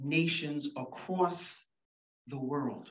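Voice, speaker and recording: In a room with audible echo, a woman with a very deep, low voice speaks very slowly with fairly even intonation. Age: 70s. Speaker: educational consultant. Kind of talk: conference talk. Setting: room with audience.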